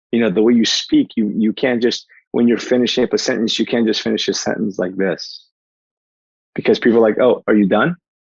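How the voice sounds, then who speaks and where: A man with a New Jersey accent speaks at a fairly quick pace in a medium pitch. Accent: New Jersey American. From New Jersey, US; born in Portugal. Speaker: life coach and keynote speaker. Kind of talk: podcast interview. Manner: fast; animated.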